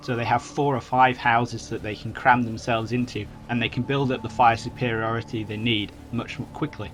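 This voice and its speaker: A medium-pitched man speaks while music plays behind him. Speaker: gaming commentator. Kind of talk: video game let's play commentary. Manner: monotone.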